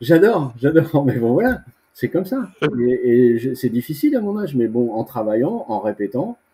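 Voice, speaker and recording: Somewhat breathy, a man of medium pitch with a dark, mellow tone speaks at a moderate pace. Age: 60s. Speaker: veteran bodybuilder. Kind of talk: interview. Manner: casual; halting.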